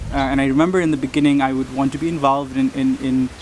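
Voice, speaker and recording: A very fast-talking man with a fairly high pitch, over noticeable background noise. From Nepal. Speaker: coffee nonprofit co-founder. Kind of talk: interview. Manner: halting.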